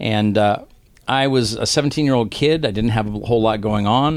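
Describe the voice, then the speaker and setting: A man with a normal speaking voice talks at a fairly quick pace with a fairly low pitch. The recording is very clean, with a silent background. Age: 50s. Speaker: concert promoter and recovery retreat director. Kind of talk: testimony. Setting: old theater venue.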